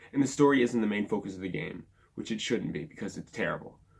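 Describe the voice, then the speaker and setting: Vocal fry runs through this man's very fast speech. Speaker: gaming YouTuber. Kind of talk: game review rant. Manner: casual with many fillers.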